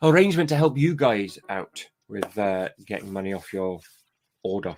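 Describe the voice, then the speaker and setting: This man's voice is fairly low in pitch. It shows ordinary pitch variation. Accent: slight Scottish. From Scotland. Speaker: online seller and toy-buying vlogger. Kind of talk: live stream chat with viewers. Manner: hesitant, many fillers.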